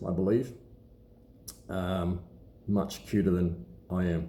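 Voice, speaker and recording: Mumbling in an Australian accent, the speaker has a dark, mellow tone, with audible room echo around the voice. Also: man. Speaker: watch collector and seller. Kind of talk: casual vlog talk to camera. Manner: halting with many fillers.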